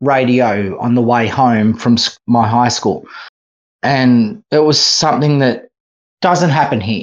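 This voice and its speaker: Speaking with an Australian accent, a man keeps a medium pitch and a fairly slow pace. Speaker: film festival programmer. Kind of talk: casual chat.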